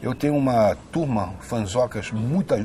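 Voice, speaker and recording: Speaking at a very slow pace with ordinary pitch variation, a man is heard over noticeable background noise. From Brazil, Rio de Janeiro. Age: 60s. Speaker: actor and filmmaker. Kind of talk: interview. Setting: on camera at a cultural venue. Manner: continuous flowing speech.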